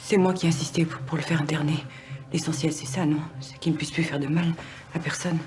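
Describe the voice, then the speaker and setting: Over noticeable background noise, a woman speaks very fast in a very deep, low voice with monotone, flat intonation. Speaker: actress. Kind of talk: acting showreel of dramatic scenes.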